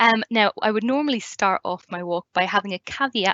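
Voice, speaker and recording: A woman with an Irish accent at a moderate pace. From Ireland. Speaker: community learning officer, tour guide. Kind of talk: online presentation talk. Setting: live online video event.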